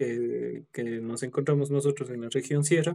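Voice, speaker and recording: Fairly even in intonation, a man speaks at a medium pitch with a dark, mellow tone. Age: 20s. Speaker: dog groomer and prosthetics maker. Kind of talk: casual interview.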